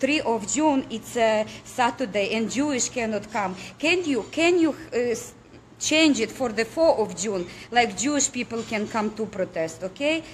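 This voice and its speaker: Against a quiet background, a woman with a non-native accent speaks in a fairly high pitch with lively intonation. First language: not English. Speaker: political activist. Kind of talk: impassioned appeal to viewers. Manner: halting, with stumbles and repetitions.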